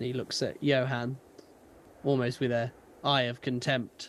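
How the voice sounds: With a British accent, a man talks at a fairly slow pace, his medium pitch showing little movement.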